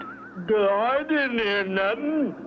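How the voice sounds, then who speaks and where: Against clear background noise, a man performs a cartoonish character voice at an extremely high pitch. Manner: simple, ungrammatical.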